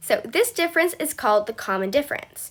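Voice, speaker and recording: The voice is raised and projected, bright and sharp in tone, and it moves at a moderate pace. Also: woman. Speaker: math tutor on video channel. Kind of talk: tutorial.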